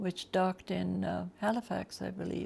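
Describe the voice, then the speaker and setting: A woman talks with a Canadian Prairie accent. Her pace is very slow. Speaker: retirement home resident. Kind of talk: life story interview.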